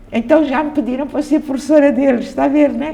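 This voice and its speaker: Audible room echo surrounds a woman as she speaks. Noticeable background noise is present too. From Mozambique, Maputo. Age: 80s+. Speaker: theatre director. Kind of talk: interview. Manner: halting.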